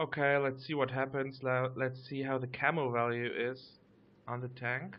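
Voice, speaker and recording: A man with a German accent speaks at a medium pitch and a moderate pace in monotone, flat intonation. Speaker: gaming YouTuber. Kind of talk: gameplay commentary. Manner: casual, some hesitations.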